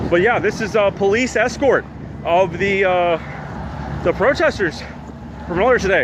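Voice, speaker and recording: A man's high voice with very even loudness and ordinary pitch variation, over noticeable background noise. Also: fairly slow pace. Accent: American. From US, DC area. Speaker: citizen journalist live streamer. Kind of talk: live street reporting. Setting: outdoors at street protest. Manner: halting with fillers.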